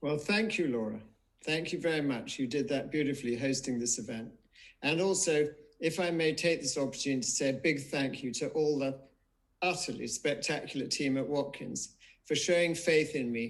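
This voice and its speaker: A man's fairly high-pitched voice, a plain, everyday voice, with ordinary pitch variation and a moderate pace. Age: 60s. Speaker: memoir author. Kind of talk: live online book event interview.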